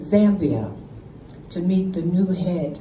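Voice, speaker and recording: A woman with an American accent speaks at a medium pitch. The recording has audible room echo and noticeable background noise. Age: 70s. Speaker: invited speaker at an assembly. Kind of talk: public speech. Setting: stage with audience. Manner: animated.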